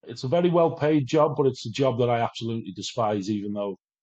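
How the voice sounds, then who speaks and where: A man with a Welsh accent speaks at a medium pitch. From Wales, near English border. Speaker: addiction recovery speaker. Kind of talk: interview. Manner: animated.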